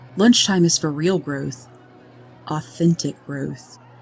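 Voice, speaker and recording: Over music in the background, a woman with a very deep, low pitch speaks at a fairly slow pace, her calm, soothing tone carried by lively intonation. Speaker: sleep story narrator. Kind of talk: sleep story narration. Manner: calm, slow, soothing.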